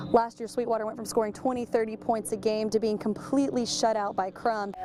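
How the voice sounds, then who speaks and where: Over music in the background, a woman talks at a fairly quick pace with a fairly high pitch. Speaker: sports reporter. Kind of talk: sports feature narration.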